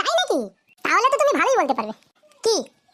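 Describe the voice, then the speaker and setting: Squeaky and pitched extremely high, a woman performs a cartoonish character voice at a fairly quick pace with very wide pitch swings. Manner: coy, manipulative.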